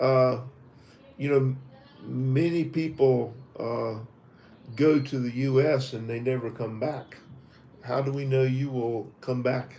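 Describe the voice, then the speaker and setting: In a Southern US accent, a man speaks slowly with long, frequent pauses, his medium pitch monotone and flat, with audible room echo in the room. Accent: Southern American. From US South, Tennessee. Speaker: visa interview trainer. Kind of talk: mock visa interview. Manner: halting.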